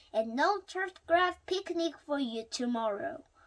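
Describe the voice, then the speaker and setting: A woman does a squeaky put-on character voice at an extremely high pitch, swinging widely in pitch at a fairly slow pace. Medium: read story.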